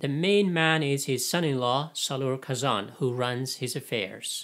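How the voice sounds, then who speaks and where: A man talks at a fairly slow pace, with a quiet background around him. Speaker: book reviewer. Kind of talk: lecture. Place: home room.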